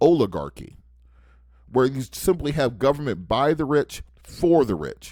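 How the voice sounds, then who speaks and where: A fairly high-pitched male voice, animated in tone, with vocal fry. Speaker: radio talk host and civil rights attorney. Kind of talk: political commentary monologue. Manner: halting, with restarts and fillers.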